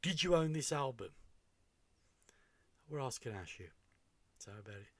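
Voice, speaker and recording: Lively intonation in a British accent, somewhat breathy, at a moderate pace. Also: man. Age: 60s. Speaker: music reaction youtuber. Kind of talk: casual reaction commentary. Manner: hesitant, many fillers.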